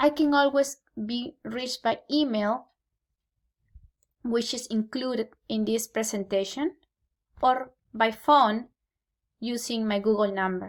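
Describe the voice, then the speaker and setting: In a Peruvian accent, a woman with a fairly high voice and ordinary pitch variation speaks at a fairly slow pace, with long, frequent pauses. The recording is very clean, with a silent background. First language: Spanish. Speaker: Spanish teacher. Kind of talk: scripted presentation to parents. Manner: formal.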